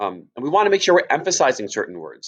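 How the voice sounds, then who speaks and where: A man is speaking. His voice has vocal fry. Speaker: teacher. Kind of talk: lecture.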